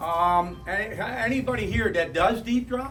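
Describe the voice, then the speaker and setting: A man speaks at a fairly slow pace in a high pitch. Noticeable background noise and audible room echo surround his voice. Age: 60s. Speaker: retired charter boat captain. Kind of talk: club talk. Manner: casual. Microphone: no microphone.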